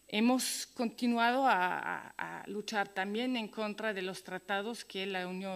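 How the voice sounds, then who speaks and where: A woman speaks at a very slow pace with a slight Italian accent. Her pitch varies in an ordinary way. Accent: some Italian elements in her Spanish. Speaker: activist speaker. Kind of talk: conference talk. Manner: halting, many fillers.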